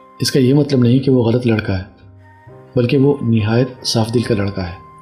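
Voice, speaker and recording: A man's voice with fairly even intonation over background music. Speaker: radio jockey. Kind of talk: audio story narration.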